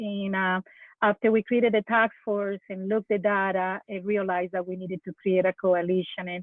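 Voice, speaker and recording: With flat, monotone intonation, a woman talks at a moderate speed in a medium pitch. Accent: Colombian. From Colombia, Bogota. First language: Spanish. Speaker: drowning prevention coalition leader. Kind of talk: webinar panel discussion. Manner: halting, many fillers.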